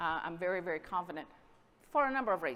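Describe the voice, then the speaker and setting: A woman is speaking. She has a Southern US accent. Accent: Southern US (Georgia). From US South, Southwest Georgia. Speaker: dairy export industry representative. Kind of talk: conference presentation.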